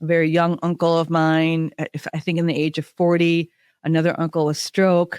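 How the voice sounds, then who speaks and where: A woman with an American accent, fairly low-pitched and flat in monotone, at a moderate pace, in a very clean, dry, close recording with no echo and a silent background. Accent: Minnesota accent, comes out at times. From Minnesota. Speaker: podcast host. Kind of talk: podcast interview with scripted intro.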